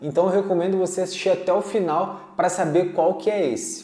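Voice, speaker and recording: A man with a high-pitched voice speaks at a moderate pace, and the room echo can be heard. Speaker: delivery work youtuber. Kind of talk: tutorial-style vlog talk. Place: home room. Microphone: lapel.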